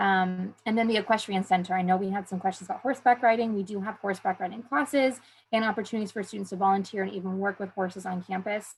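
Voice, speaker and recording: Speaking at a very fast pace with hardly any pauses, a woman with a somewhat breathy, medium-pitched voice keeps her intonation fairly even. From southern California (San Diego). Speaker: university admissions advisor. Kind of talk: information session presentation. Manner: hesitant with frequent fillers.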